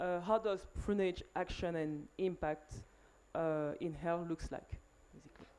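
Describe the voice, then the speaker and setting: A woman with a French accent speaks at a fairly slow pace, pausing long and often. Her fairly low voice has a dark, mellow tone, fairly even intonation and big swings in loudness. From Cameroon. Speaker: panel moderator. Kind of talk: panel discussion. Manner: hesitant, many fillers.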